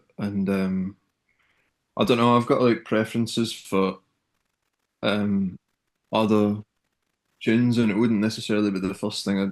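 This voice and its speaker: A man's fairly low voice in a strong Scottish accent, monotone and flat, at a moderate pace. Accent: Scottish accent, still strong. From Scotland, Kilmarnock near Glasgow. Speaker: singer-songwriter. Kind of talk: interview. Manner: hesitant, many fillers.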